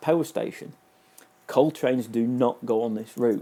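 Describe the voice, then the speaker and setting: With a Manchester accent, a man speaks in a dark, mellow tone and lively intonation. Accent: Manchester-area. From northern England, near Manchester. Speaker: video game reviewer. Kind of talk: casual review commentary. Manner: hesitant, many fillers and repetitions.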